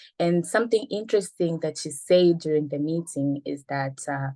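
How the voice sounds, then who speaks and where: This woman's voice has a dark, mellow tone and fairly low pitch, moving at a moderate pace with ordinary pitch variation. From Tanzania. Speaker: telecom sector representative, panelist. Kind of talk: webinar panel talk. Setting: online call while on the move, camera off. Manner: hesitant, many fillers.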